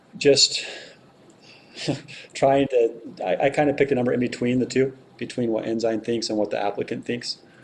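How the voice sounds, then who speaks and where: A man at a medium pitch, at a fairly quick pace, with fairly even intonation and long, frequent pauses. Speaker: city council member. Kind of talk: council meeting discussion. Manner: fast.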